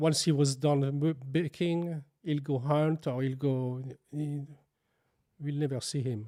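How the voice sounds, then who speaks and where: With a French accent, a man talks at a fairly slow pace in a dark, mellow tone, keeping his intonation fairly even and leaving long, frequent pauses. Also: fairly high pitch for a man. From France. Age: 60s. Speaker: baker and bakery owner. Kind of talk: interview. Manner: halting.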